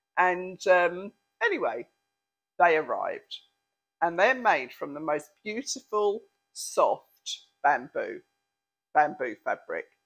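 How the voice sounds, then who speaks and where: A woman with a British accent speaks at a very slow pace, her loudness swinging widely and her speech broken by long, frequent pauses. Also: quiet background. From England. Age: 60s. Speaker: lifestyle vlogger. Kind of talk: product review. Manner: chatty, frequent ums and hesitations. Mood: playful, amused. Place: home room. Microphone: lapel.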